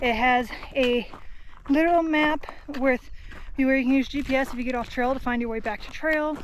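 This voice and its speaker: Speaking at a moderate pace, a high-pitched woman is heard with noticeable background noise and audible room echo. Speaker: thru-hiker vlogger. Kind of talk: casual vlog narration. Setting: outdoors on a hiking trail; in a tent at a campsite. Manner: soft-spoken.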